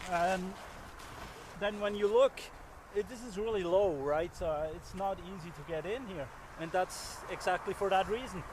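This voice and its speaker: A man speaks at a moderate pace in a high voice with ordinary pitch variation, his dry, echo-free sound set against noticeable background noise. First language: not English. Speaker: survival instructor. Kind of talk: outdoor tutorial. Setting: outdoors in snow. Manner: halting, many fillers. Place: forest.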